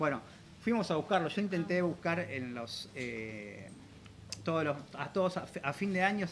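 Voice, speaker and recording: This is a man speaking. His intonation is lively. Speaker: civic official and activist. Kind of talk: interview. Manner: fast.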